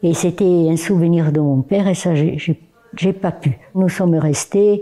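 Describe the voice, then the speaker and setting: A woman speaks at a fairly slow pace with a fairly low pitch and ordinary pitch variation. Noticeable background noise runs under her voice. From southern France, Perpignan. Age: 90s. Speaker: war veteran, former Resistance member. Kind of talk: testimony. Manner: halting.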